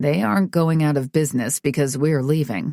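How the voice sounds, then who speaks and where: Someone uses a put-on character voice with a low-to-middle pitch at a fairly quick pace. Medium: read story. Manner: casual, assured.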